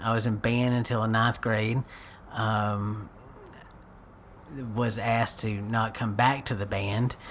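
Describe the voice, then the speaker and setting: In an East Texas accent, a man speaks at a medium pitch with monotone, flat intonation. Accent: East Texan. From East Texas, Paris. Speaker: local community figure. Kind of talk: casual chat.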